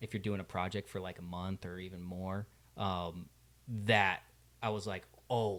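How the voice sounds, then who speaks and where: A man's very deep, low voice with an American accent, flat and monotone at a moderate pace, with long, frequent pauses over a very clean recording and a silent background. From US Midwest, Ohio. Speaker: actor and writer. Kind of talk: podcast interview. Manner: casual, lots of fillers.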